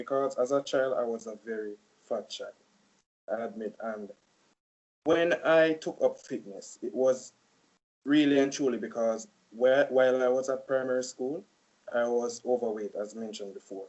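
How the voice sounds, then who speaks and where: A speaker with a Jamaican accent talks at a moderate pace, with big swings in loudness and long, frequent pauses. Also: man. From Jamaica (Saint Elizabeth). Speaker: college student. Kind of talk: casual interview.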